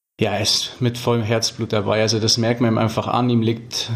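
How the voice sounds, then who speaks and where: A man with a fairly low voice amid noticeable background noise. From Füssen, Allgäu, Bavaria. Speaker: ice hockey player. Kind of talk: interview.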